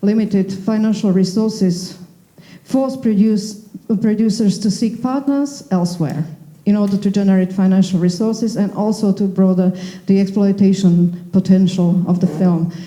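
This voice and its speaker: Speaking at a moderate pace with very even loudness, a woman uses a medium pitch, a dark, mellow tone, a somewhat breathy quality and fairly even intonation. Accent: Slovak. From Slovakia. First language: Slovak. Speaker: panel moderator. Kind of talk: panel discussion.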